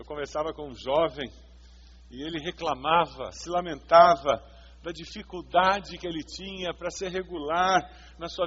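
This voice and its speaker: This man's voice is high-pitched. He speaks at a moderate pace. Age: 50s. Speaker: pastor. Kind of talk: sermon.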